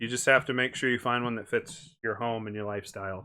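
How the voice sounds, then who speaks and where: This man speaks with an Ohio accent at a medium pitch. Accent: Ohio accent, drops R's and T's. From Ohio, US Midwest. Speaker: streamer. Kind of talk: live stream chat.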